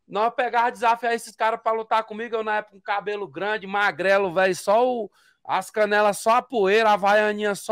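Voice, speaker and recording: His pitch is high for a man, and his intonation stays fairly even. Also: quiet background, dry sound with no echo. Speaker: interviewee. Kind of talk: interview answer. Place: home room. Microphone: studio mic.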